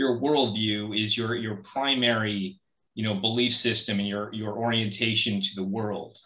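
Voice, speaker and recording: The voice has a bright, sharp tone and an American accent, moving at a moderate pace with fairly even intonation. Room echo is audible. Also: man, fairly low pitch for a man. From California (Folsom, near Sacramento). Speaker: author and community organizer. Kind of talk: interview conversation. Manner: halting, many repetitions and fillers.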